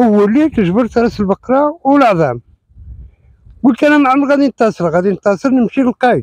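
Recorded dry with no echo against a quiet background, a man speaks at an extremely high pitch with lively intonation and very even loudness. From Morocco. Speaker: local witness; witness. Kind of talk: eyewitness account. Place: open country. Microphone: lapel.

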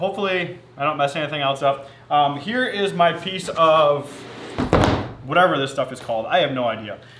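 There is noticeable background noise. Through it, a man talks. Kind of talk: casual vlog tutorial. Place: workshop. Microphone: camera far.

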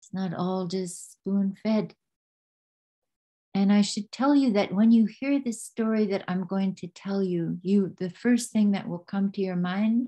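A woman speaks at a fairly slow pace in a dark, mellow tone that is somewhat breathy. Her intonation is fairly even, and the background is quiet. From Yukon, Canada (First Nation). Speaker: traditional storyteller and cultural ambassador. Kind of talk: storytelling talk to an online audience. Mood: warm, earnest. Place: home room. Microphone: webcam.

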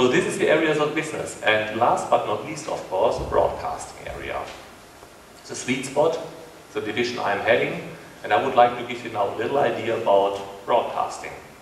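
A man talks at a fairly quick pace. There is audible room echo and light background noise. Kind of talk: press conference presentation. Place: hall.

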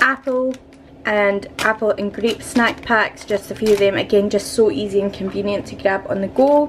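Against light background noise, a woman speaks at a fairly slow pace. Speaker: vlogger. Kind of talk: casual vlog chat. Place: kitchen. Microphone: phone near.

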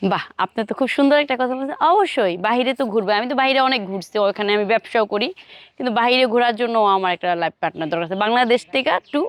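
A woman's plain, everyday voice, fairly high-pitched, with lively intonation and a dry, close sound free of echo. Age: 20s. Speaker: businesswoman seeking a husband. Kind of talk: street interview.

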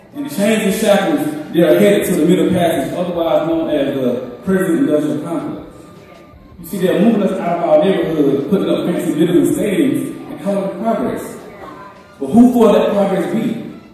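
Amid strong room echo and light background noise, a man talks at a moderate pace in a high pitch with very wide pitch swings. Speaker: spoken word poet and guest speaker at a church summit. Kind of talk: spoken word poetry performance. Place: church. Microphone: camera far.

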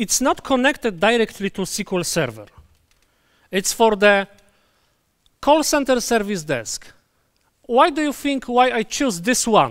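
Pausing long and often, a man with a Polish accent speaks at a high pitch with lively intonation. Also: fairly slow pace, quiet background. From Poland. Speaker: database conference speaker; conference presenter. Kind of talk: conference talk; technical lecture. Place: hall.

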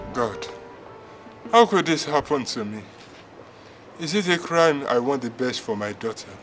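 The voice makes very wide pitch swings at a moderate pace. Music plays in the background. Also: man. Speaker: actor playing a father. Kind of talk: dramatic monologue, film acting. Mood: distressed, ashamed, frustrated. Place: open country.

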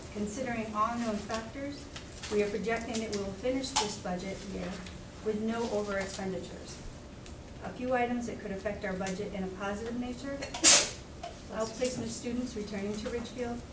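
This woman's fairly quick speech cuts through loud background noise. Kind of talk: formal budget report. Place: meeting room.

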